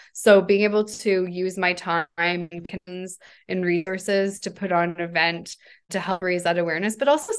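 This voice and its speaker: Fairly even intonation and a moderate pace in a normal speaking voice. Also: woman. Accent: Canadian. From Canada, Hamilton, Ontario. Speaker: company founder and CEO. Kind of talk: interview.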